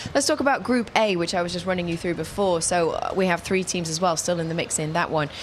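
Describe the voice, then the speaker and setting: A woman speaks with an American accent in a fairly low voice. Noticeable background noise runs under her. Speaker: football presenter. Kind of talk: studio football analysis show.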